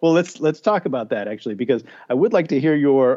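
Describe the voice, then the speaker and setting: An ordinary speaking voice from a man, fairly high in pitch for a man, with lively intonation. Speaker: podcast host. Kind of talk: podcast interview.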